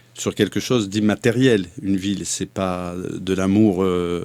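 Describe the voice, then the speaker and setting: A man's fairly low voice at a fairly slow pace, in a very clean recording with a silent background. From southern France. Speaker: mayoral candidate. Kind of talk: interview.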